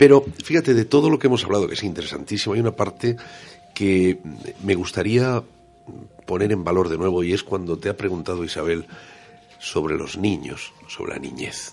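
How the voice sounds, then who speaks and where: Music in the background under a man's fairly low voice, lively in intonation, at a moderate pace with long, frequent pauses. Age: 50s. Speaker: radio co-host. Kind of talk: interview. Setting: radio studio.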